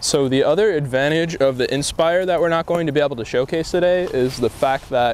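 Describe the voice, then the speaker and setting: A man talks at a very fast pace in a dry sound with no echo over light background noise. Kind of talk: tutorial. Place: open country.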